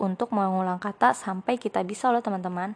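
In an unremarkable speaking voice, a woman talks at a medium pitch. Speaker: student podcaster. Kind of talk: scripted narration.

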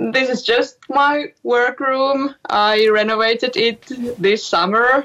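Speaking in a Finnish accent, a woman talks at a very slow pace with a high pitch, ordinary pitch variation and very even loudness. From Finland. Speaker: singer and musician. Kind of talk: interview. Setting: remote call from home workroom.

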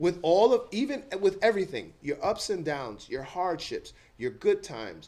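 A man with an American accent speaks at a fairly slow pace in a dark, mellow tone. His pitch swings very widely, and the recording is very clean with a silent background. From New York City (the Bronx). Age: 50s. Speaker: retired Marine, youth mentoring site director. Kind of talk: interview conversation.

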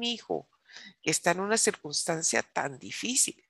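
Animated in tone and marked by vocal fry, a woman speaks in a dry, close sound with no echo against a quiet background. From United States, Colombian descent. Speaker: preacher. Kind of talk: sermon.

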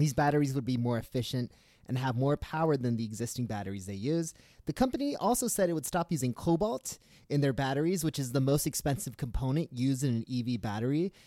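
A man at medium pitch, very fast in pace, with a dark, mellow tone. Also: ordinary pitch variation, very clean recording, silent background. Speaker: newsletter writer and podcast host. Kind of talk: news reading; casual chat. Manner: loud.

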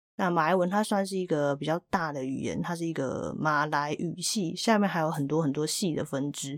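A woman's very deep, low voice with a Taiwanese accent at a moderate pace, on a very clean recording with a silent background. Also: ordinary pitch variation, hardly any pauses. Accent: Taiwanese Mandarin. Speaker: podcast host. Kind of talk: casual monologue.

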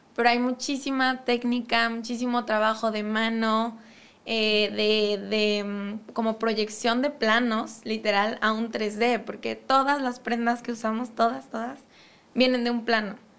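Pitched fairly high, a woman speaks at a fairly slow pace with monotone, flat intonation. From Mexico, Cuautla (Morelos). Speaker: fashion designer. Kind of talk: interview.

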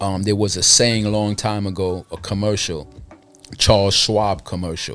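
At a moderate pace, a man with a Brooklyn accent talks in a fairly low voice. Noticeable background noise runs behind him. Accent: New York, Brooklyn. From Brooklyn, New York. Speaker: music distribution entrepreneur. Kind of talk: casual chat. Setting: studio.

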